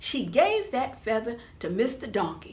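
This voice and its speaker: Her voice sits at a fairly high pitch, with vocal fry. The woman speaks at a fairly slow pace. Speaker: professional storyteller. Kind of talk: children's storytelling performance.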